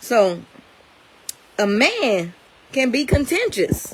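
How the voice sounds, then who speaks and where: Loud speech with very wide pitch swings over noticeable background noise. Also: woman. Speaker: bible teacher. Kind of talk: sermon-style bible talk.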